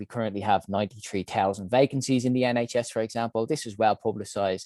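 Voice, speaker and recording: A man with an Irish accent talks at a fairly quick pace in a dark, mellow tone of medium pitch, with ordinary pitch variation. The sound is dry and close with no echo, over a quiet background. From Ireland, Dublin. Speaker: health innovation founder and CEO. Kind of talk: conference talk.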